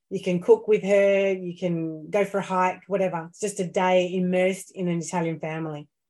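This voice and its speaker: A woman with an Australian accent talks at a fairly quick pace, with hardly any pauses and a dark, mellow tone. Her intonation is monotone and flat, her loudness swings widely, and the background is quiet. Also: medium pitch for a woman. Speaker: Italian language school founder. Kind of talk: casual interview chat. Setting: video call.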